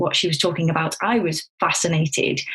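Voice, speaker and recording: Fairly quick speech with a Staffordshire accent. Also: woman. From Staffordshire, England. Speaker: clinical psychologist. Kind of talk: podcast interview. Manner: animated.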